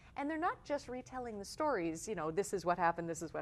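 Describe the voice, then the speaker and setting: Very wide pitch swings and vocal fry mark this woman's speech, delivered at a very fast pace. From Canada, Toronto. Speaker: singer-songwriter. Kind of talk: interview.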